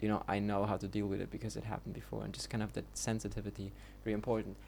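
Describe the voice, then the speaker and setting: With a German accent, a man speaks. His pace is very fast. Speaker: vlogger. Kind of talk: casual monologue. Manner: halting, many fillers; unscripted.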